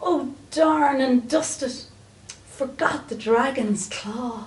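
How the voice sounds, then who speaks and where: A woman does a shrill, high-pitched put-on character voice at a very slow pace. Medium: read story. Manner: screeching, impatient.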